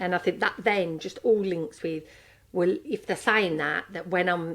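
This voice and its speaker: A woman with a strong Brummie accent, fairly low in pitch, fairly slow and with fairly even intonation. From Birmingham, England. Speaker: podcast co-host, coach. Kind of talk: casual chat.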